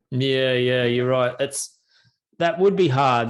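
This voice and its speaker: With an Australian accent, a man speaks at a moderate pace and a medium pitch. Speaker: travel podcast host. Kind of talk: podcast interview host. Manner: casual, chatty.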